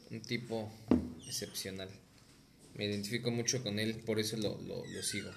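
Amid noticeable background noise and audible room echo, a man at medium pitch talks in a monotone, flat intonation at a moderate pace with long, frequent pauses. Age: 20s. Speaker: podcast guest. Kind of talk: casual chat.

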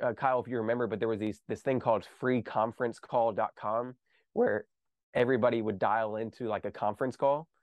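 A man speaks at a fairly quick pace with an American accent. His is a normal speaking voice at a medium pitch. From US South, small-town Kentucky. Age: 20s. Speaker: real estate investor and entrepreneur. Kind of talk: podcast interview.

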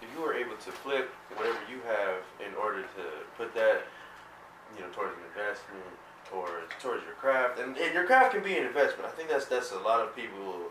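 A man with an American accent at a fairly quick pace, with long, frequent pauses, big jumps in volume, noticeable background noise and audible room echo. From suburban New Jersey. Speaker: music producer. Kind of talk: casual chat. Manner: halting.

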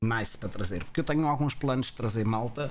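A man with a European Portuguese accent and ordinary pitch variation. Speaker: Twitch streamer and podcast host. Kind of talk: casual chat. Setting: live stream.

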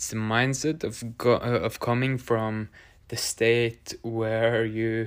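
On a very clean recording with a silent background, a man with a Norwegian accent talks at a very slow pace and medium pitch, his intonation monotone and flat. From Norway. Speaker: podcast host. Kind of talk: solo monologue.

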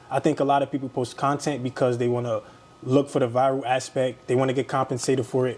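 Over noticeable background noise, a man with a medium pitch talks at a very fast pace. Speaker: podcast host. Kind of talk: casual interview conversation.

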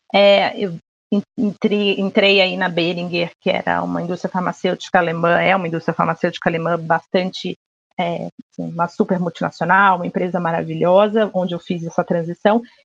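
A woman with a fairly low pitch and vocal fry speaks in monotone, flat intonation at a moderate pace, in a dry, close sound with no echo. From Rio de Janeiro, Brazil. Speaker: marketing and media professional. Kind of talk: casual interview chat. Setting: remote recording from home.

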